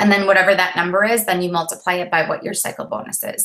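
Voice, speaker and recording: A woman at a very fast pace. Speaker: network marketing coach trainer. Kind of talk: live webinar training. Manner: casual, rambling.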